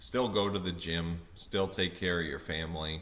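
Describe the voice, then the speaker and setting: Slowing to a fairly slow pace, a man speaks in a bright, sharp tone at a very deep, low pitch. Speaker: vlogger. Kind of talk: casual monologue vlog. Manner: many fillers, halting.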